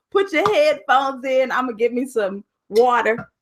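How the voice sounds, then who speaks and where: Loud and animated, a woman speaks at a fairly slow pace and high pitch with lively intonation. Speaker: life coach hosting a live online challenge. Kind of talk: live stream chat with viewers. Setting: live video broadcast.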